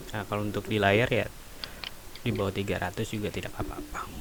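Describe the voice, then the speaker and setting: Noticeable background noise sits behind the speaker. A man with a fairly low pitch speaks in a monotone, flat intonation. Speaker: teacher. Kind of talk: tutorial. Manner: quiet; many fillers (eh, ya). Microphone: poor microphone.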